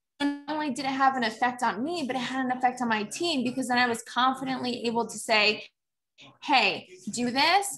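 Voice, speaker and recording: Over clear background music, a woman talks fairly quickly in a high voice with ordinary pitch variation. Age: 20s. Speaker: network marketing seller. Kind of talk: casual interview chat. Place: home room. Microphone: video call.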